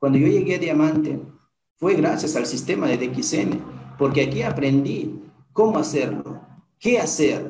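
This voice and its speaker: Room echo can be heard around this man. His voice sits fairly high. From Peru, Huancabamba (Piura highlands). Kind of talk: motivational testimony. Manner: animated.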